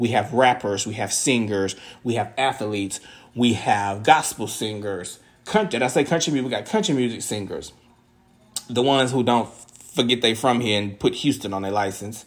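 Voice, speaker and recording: The man's tone is animated, and his pitch is medium with ordinary variation. He talks at a moderate pace. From Southeast Texas (Beaumont). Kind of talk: casual commentary monologue.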